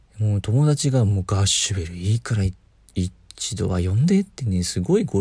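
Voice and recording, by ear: The clip features reading aloud in a natural voice. Its intonation rises and falls in a lively way.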